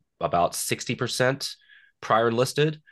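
Over a quiet background, a man with an American accent speaks at a moderate pace. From Western Kentucky, US. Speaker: shooting sports association president, Marine veteran. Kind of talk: interview.

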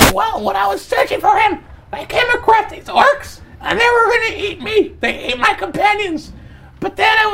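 This put-on character voice is squeaky and extremely high in pitch, moving at a moderate pace. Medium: actual play. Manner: fast, bossy, scheming.

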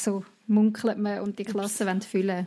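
This woman speaks with a Swiss accent at a medium pitch and a fairly quick pace. Her intonation stays monotone and flat. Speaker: podcast host. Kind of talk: casual chat. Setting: video call.

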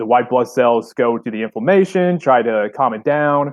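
Speaking at a moderate pace with a medium pitch, this man has an unremarkable speaking voice. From southern Illinois. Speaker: obstacle course racer. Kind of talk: casual chat. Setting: office, remote call.

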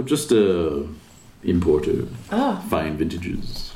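With audible echo, a man does a resonant, put-on character voice at a very deep, low pitch, with very wide pitch swings and a fairly slow pace.

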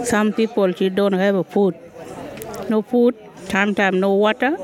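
Someone with a Sudanese accent talks at a fairly slow pace while crowd noise carries in the background. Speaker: refugee. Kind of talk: street interview. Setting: outdoors.

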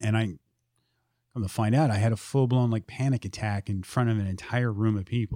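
A man's normal speaking voice at a fairly quick pace, dry and close with no echo. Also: medium pitch for a man. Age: 40s. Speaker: podcast host guest, military veteran in recovery. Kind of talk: casual chat.

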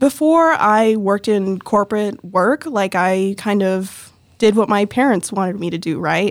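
In an unremarkable speaking voice, a woman talks at a medium pitch with an American accent and lively intonation. Her pace is fairly slow, yet she leaves hardly any pauses. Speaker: nonprofit worker. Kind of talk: casual interview.

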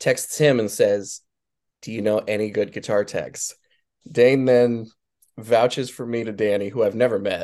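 A man with a normal speaking voice, medium pitch, moderate pace and fairly even intonation against a quiet background. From Wyoming, US. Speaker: guitar tech. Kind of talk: casual interview chat.

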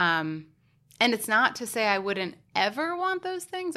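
On a very clean recording with a silent background, a woman speaks at a moderate pace in a bright, sharp tone. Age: 20s. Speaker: podcast guest. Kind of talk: casual chat.

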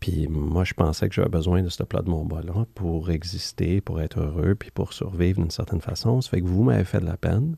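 Speaking at a fairly quick pace with hardly any pauses, a man has a very deep, low pitch, ordinary pitch variation, a dark, mellow tone, and a somewhat breathy quality, all in a dry, close sound with no echo. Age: 50s. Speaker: former Wall Street executive turned spiritual author. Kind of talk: casual interview. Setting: studio.

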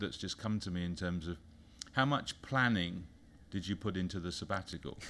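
Talking fairly quickly, a man's very deep, low voice shows ordinary pitch variation. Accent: British. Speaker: business consultant. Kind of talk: casual interview. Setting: studio.

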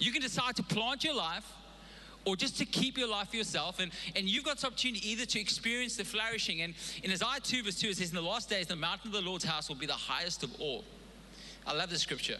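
Noticeable background noise around a man's very fast, high-pitched speech. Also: lively intonation. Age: 40s. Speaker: pastor. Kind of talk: sermon. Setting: church. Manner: halting, with many repeated words.

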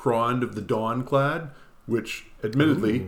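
With an ordinary speaking voice, a man talks at a fairly slow pace and a medium pitch. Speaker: podcast host. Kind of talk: casual chat.

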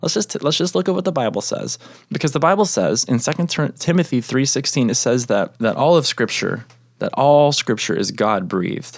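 A man talks fairly quickly with vocal fry. The recording is very clean, with a silent background. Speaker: podcast host and Bible teacher. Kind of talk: sermon-style Bible teaching. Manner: animated, conversational; self-described monotone at times.

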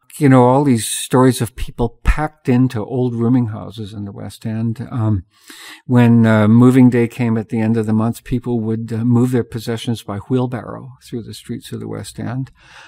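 A man speaks at a moderate pace and medium pitch in a Canadian accent, his tone dark and mellow. His intonation stays monotone and flat while his loudness swings widely. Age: 70s. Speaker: artist and local historian. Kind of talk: interview conversation. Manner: halting.

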